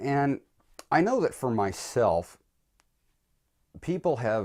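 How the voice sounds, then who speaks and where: A man's ordinary speaking voice, fairly slow and lively in intonation, in a very clean recording with a silent background. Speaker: vlogger on religion and philosophy. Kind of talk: personal video essay.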